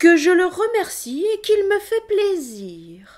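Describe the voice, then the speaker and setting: A woman uses a put-on character voice at an extremely high pitch. Her intonation is lively. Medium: read story. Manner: regal, courteous.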